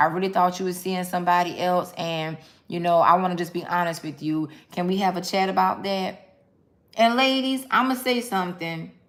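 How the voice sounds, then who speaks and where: With a medium pitch and ordinary pitch variation, a woman speaks at a fairly quick pace. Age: 40s. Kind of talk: casual talk to viewers.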